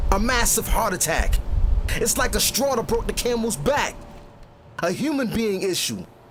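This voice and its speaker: A man's extremely high voice with ordinary pitch variation amid noticeable background noise. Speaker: spoken word poet. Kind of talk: spoken word poetry performance.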